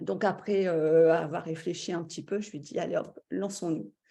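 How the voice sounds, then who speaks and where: This woman has a medium pitch, a dark, mellow tone, a somewhat breathy quality and ordinary pitch variation, all on a very clean recording with a silent background. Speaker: stay-at-home mother, course participant. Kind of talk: testimony. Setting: live video stream.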